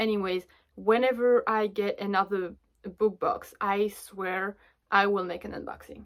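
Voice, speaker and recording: A woman with a French accent speaks at medium pitch and a fairly slow pace. Her intonation is monotone and flat, while her loudness swings widely. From France. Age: 20s. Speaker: book vlogger. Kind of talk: casual chat.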